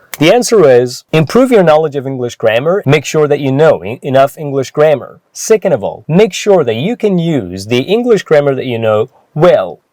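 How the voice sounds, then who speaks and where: With a Persian accent, a man speaks at a moderate pace and fairly high pitch, his dark, mellow tone swinging very widely in pitch, with hardly any pauses. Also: dry, close sound with no echo. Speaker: English teacher. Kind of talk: tutorial.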